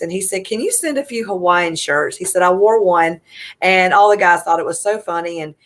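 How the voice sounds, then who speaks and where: Speaking in a Southern US accent, a woman talks at a fairly quick pace. Her pitch is fairly low and her intonation fairly even. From US South, South Carolina (Easley). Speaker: military mom, nonprofit founder. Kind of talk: interview storytelling.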